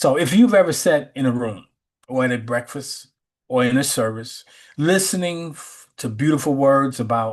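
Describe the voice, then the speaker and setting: Over a quiet background, an ordinary speaking voice with an American accent moves at a moderate pace with ordinary pitch variation. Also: man. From US Midwest, Chicago west side. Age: 60s. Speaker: spiritual teacher. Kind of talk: sermon; casual chat. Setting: video call.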